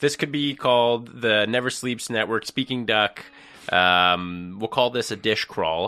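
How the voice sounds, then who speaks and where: A man's medium-pitched voice with a bright, sharp tone, ordinary pitch variation and a fairly slow pace over a quiet background. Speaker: podcast host. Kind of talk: casual interview. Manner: animated, talks over guest.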